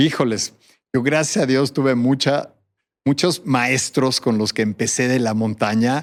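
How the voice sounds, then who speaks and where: A very clean recording against a silent background, at a fairly slow pace. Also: man. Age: 60s. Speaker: endurance athlete and mountaineer. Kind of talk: interview.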